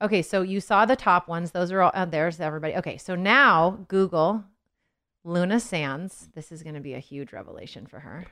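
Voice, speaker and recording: A woman with a General American accent, a fairly low pitch, a bright, sharp tone, ordinary pitch variation and a fairly quick pace. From Los Angeles, California. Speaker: singer and mom. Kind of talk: casual chat. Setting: studio.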